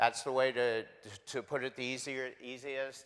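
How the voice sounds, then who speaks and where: Over a silent background in a very clean recording, a man talks loudly at a moderate pace with a bright, sharp tone. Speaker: homeless shelter staff member. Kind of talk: guest presentation in church.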